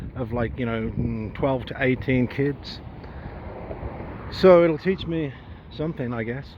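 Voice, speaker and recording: Amid noticeable background noise, a man with an English accent speaks at a medium pitch. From England. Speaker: travel vlogger. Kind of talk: casual vlog monologue. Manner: casual, with fillers and swearing.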